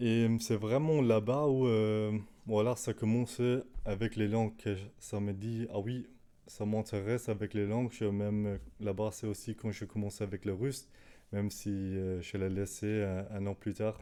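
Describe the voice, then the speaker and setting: In a very clean recording with a silent background, a man with a non-native accent speaks at a fairly slow pace. His voice has a dark, mellow tone, a fairly low pitch and fairly even intonation. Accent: non-native French, makes errors. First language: Danish (speaking French). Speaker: language learner YouTuber. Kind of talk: casual talk to camera. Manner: halting, many fillers.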